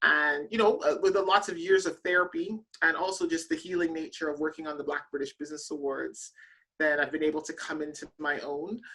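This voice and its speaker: A woman's fairly low voice in a Canadian accent, bright and sharp in tone, fairly quick, with fairly even intonation. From Canada. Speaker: business awards founder, corporate director. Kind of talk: interview.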